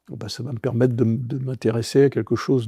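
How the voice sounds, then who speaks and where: The speaker is a man. He talks at a medium pitch. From Brittany, France. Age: 60s. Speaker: advertising executive and football club president. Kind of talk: podcast interview. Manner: halting, many repetitions.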